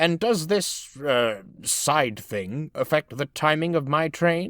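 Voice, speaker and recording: Doing a put-on character voice, a man speaks at a fairly high pitch and fairly slow pace with lively intonation. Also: dry, close sound with no echo. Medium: read story. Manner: hesitant then grandiose.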